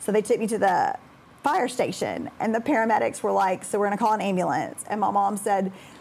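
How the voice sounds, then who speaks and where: Speaking in a Southern US accent, a woman talks at a fairly quick pace with very even loudness. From Alabama (Birmingham area), US South. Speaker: high school math teacher. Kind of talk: interview. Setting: studio.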